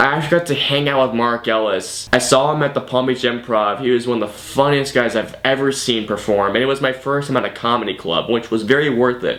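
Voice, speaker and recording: A fairly quick delivery with ordinary pitch variation over noticeable background noise. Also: man, medium pitch for a man. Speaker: YouTube movie reviewer. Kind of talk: vlog monologue. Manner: fast; halting, self-repeating.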